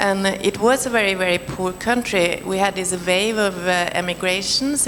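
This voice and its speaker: A woman with a Norwegian accent speaks at a moderate pace with ordinary pitch variation. Noticeable background noise runs underneath. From Norway. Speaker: panelist, film professional. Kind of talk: panel discussion. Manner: halting.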